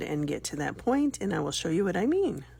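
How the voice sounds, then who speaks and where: Vocal fry from a woman at medium pitch, with very wide pitch swings. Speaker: crochet tutorial maker. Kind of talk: tutorial. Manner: casual, with fillers.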